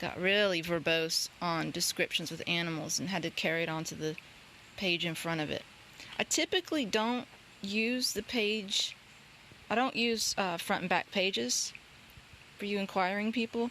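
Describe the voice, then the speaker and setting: Speaking at a moderate pace with a Northwest Georgia accent, a woman of medium pitch uses a bright, sharp tone and lively intonation, with long, frequent pauses. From Northwest Georgia, US South. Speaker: nature journaling vlogger. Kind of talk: casual tutorial.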